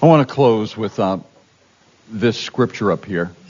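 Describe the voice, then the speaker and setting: His intonation rises and falls in a lively way. Noticeable noise sits behind the man's voice. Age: old. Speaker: fill-in pastor. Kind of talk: sermon.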